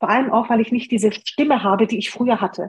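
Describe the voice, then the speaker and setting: Speaking at a fairly quick pace, a woman sounds somewhat breathy, with fairly even intonation. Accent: Hungarian. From Germany, came from Romania aged six. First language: Hungarian (speaking German). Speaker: online business blogger and copywriter. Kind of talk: interview.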